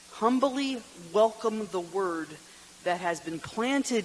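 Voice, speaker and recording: Noticeable background noise accompanies a man speaking at a very slow pace. His pitch is high, with ordinary variation. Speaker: deacon giving a retreat talk. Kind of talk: retreat talk.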